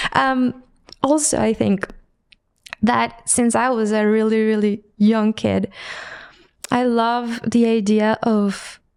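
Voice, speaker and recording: A woman talks at a very slow pace with long, frequent pauses and very even loudness. Her fairly high pitch holds a fairly even intonation. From Mexico. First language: Spanish. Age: 30s. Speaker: visual artist. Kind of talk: podcast interview.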